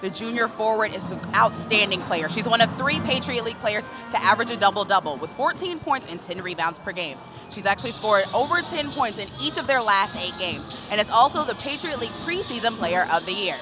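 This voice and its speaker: Over music in the background, the speaker moves at a fairly quick pace with very wide pitch swings. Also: woman. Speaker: sports analyst. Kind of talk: basketball color commentary.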